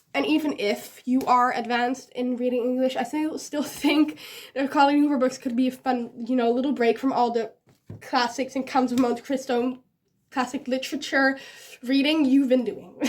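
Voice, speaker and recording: A woman's high-pitched voice at a moderate pace, fairly even in intonation, on a very clean recording with a silent background. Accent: Dutch. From Netherlands. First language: Dutch. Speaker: book vlogger. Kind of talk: casual talk to camera.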